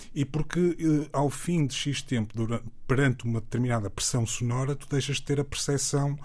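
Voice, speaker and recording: Somewhat breathy and fairly high-pitched, a man talks at a moderate pace with hardly any pauses. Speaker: music producer and DJ. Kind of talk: casual interview chat. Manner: halting, repeats words.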